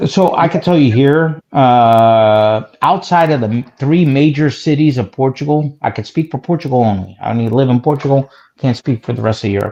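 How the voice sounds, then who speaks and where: A man with a New Jersey accent talks at a moderate pace with hardly any pauses, his medium-pitched voice dark and mellow in tone, with ordinary pitch variation against a quiet background. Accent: New Jersey American. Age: 40s. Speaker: caller. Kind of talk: casual chat. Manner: animated.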